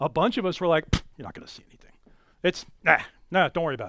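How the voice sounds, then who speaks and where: Bright and sharp in tone, a man's high-pitched voice sounds animated on a very clean recording with a silent background. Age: 60s. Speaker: amateur astronomer and club speaker. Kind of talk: lecture. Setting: in-person talk with live audience. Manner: loud.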